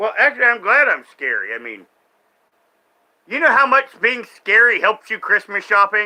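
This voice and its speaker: A man with an American accent, raised and projected, extremely high in pitch, bright and sharp in tone, moderate in pace, with ordinary pitch variation and long, frequent pauses. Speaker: streamer reacting to online content. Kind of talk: live stream commentary, casual rant. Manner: animated.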